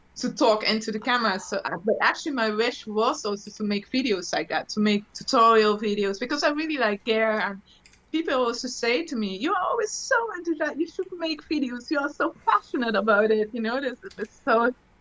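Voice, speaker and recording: Fairly quick speech with lively intonation in a German accent. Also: woman, fairly high pitch for a woman. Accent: German-tinged English, non-native. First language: Dutch. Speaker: electronic musician and gear video presenter. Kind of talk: casual chat. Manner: halting, many fillers and restarts.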